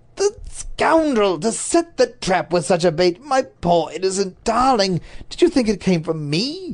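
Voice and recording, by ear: Someone is reading aloud. The delivery uses a natural voice.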